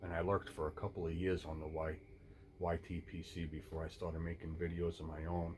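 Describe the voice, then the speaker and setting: A man's very deep, low voice, somewhat breathy, in monotone, flat intonation. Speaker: pipe smoking YouTuber. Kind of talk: casual monologue. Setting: outdoors. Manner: stuttering.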